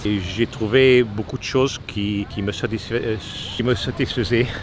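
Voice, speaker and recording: Through noticeable background noise, a man speaks with fairly even intonation. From Italy. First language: Italian (speaking French). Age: 60s. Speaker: retired expat. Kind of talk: street interview. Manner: halting, many hesitations.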